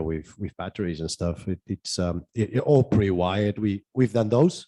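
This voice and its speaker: Against a quiet background, a man with a non-native accent has a dark, mellow tone in a dry, close sound with no echo. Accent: foreign. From South America. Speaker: conference panelist, off-grid solar engineer. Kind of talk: panel discussion. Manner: halting, many repetitions.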